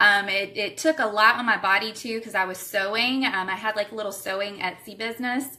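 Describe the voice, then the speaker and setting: With a Southern US accent, a woman speaks at a fairly high pitch with hardly any pauses. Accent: Southern US (Georgia). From Savannah, Georgia, US South. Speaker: direct sales distributor. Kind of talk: live stream recruiting talk. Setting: livestream from home. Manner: animated.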